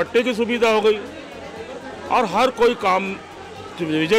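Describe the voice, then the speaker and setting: Over crowd noise in the background, a man talks at a high pitch with ordinary variation. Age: 60s. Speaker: local resident interviewed. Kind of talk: street vox pop interview.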